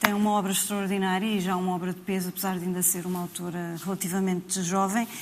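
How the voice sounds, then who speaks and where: A woman at medium pitch talking at a very fast pace, with a European Portuguese accent. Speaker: writer and translator. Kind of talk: panel discussion.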